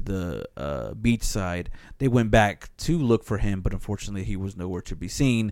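Recorded very cleanly against a silent background, a man with a fairly low pitch and ordinary pitch variation speaks in a plain, everyday voice. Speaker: podcast host. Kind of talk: casual banter podcast; announcer-style intro.

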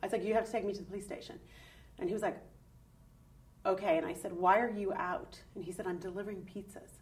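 A woman talks at a very fast pace but leaves long, frequent pauses, her somewhat breathy voice having ordinary pitch variation. The room echo is audible. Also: medium pitch for a woman. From Ireland, Dublin. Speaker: college professor and documentary maker. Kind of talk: testimony.

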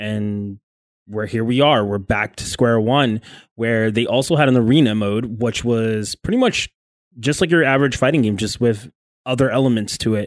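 A man talks at a moderate pace in an ordinary speaking voice, medium in pitch with ordinary pitch variation, on a very clean recording with a silent background. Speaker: fighting game player and co-host. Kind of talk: casual chat.

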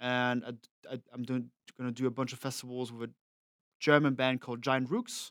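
On a very clean recording with a silent background and a dry, close sound with no echo, a man with a French accent speaks at a moderate pace in a medium pitch with monotone, flat intonation. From France. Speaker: tour manager and drum tech. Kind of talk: casual chat. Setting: studio.

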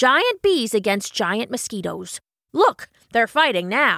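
Using a put-on character voice, a woman with a fairly high pitch talks fairly slowly with very wide pitch swings in a dry, close sound with no echo. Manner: excitable, rustic.

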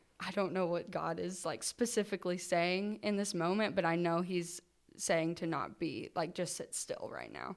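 The recording is very clean, with a silent background. A woman with a fairly low pitch and vocal fry talks fairly slowly in fairly even intonation. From Kentucky. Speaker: college student. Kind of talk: testimony.

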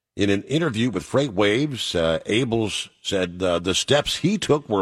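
A man's normal speaking voice at a moderate pace, with lively intonation. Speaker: talk radio host for truckers. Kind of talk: call-in radio talk show. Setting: studio. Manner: casual, filler-heavy.

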